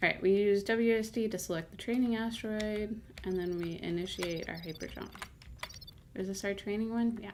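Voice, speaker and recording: A woman speaks quietly with ordinary pitch variation. Noticeable background noise and audible room echo surround her. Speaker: game streamer and channel owner. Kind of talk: casual live-stream commentary while gaming. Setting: live stream.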